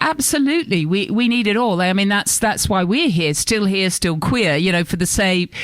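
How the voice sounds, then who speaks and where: A woman speaks at medium pitch and a moderate pace, with lively intonation and very even loudness. She leaves hardly any pauses, and there is noticeable background noise. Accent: Australian. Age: 60s. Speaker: radio host. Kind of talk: casual chat.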